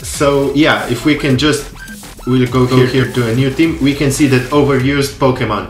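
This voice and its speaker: With audible room echo and noticeable background noise, a man talks at a medium pitch in fairly even intonation. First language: not English. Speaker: gaming YouTuber. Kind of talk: tutorial. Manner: halting; casual.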